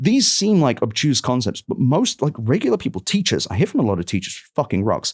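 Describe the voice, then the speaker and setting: Recorded very cleanly against a silent background with a dry, close sound and no echo, a man with a fairly high voice and vocal fry speaks at a fairly quick pace in an animated tone with very wide pitch swings. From London, England. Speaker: tech journalist and podcast host. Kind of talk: casual interview conversation. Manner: animated, emphatic.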